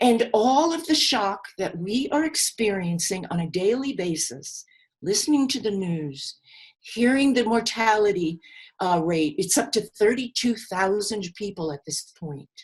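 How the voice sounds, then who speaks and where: A woman with an American accent speaks at a fairly slow pace in a fairly high, somewhat breathy voice, her pitch swinging very widely. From New York, the Bronx. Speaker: grief seminar teacher. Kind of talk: seminar lecture. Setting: live video call seminar.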